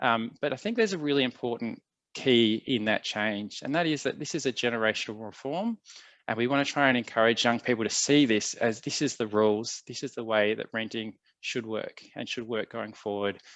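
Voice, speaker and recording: A man with an Australian accent at a fairly quick pace, with ordinary pitch variation and a quiet background. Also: medium pitch for a man. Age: 40s. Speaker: tenancy legal adviser. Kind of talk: presentation. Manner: hesitant, many fillers.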